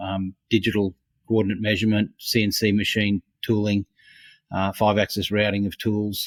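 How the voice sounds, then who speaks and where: In a very clean recording with a silent background and a dry, close sound with no echo, a man with an Australian accent speaks at a fairly low pitch and a moderate pace with monotone, flat intonation. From Australia, Brisbane. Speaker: innovation consultant. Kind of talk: interview. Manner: halting, many fillers.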